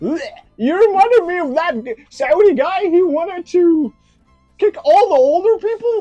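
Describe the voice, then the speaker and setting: In a cartoonish character voice at a moderate pace, the speaker talks over faint music in the background. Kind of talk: puppet comedy. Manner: angry, brash.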